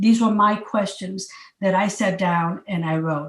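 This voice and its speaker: The woman talks fairly slowly in a somewhat breathy voice. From Puerto Rico. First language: Spanish. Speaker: county commissioner and former teacher. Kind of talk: motivational talk. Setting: video call. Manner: halting, with repetitions.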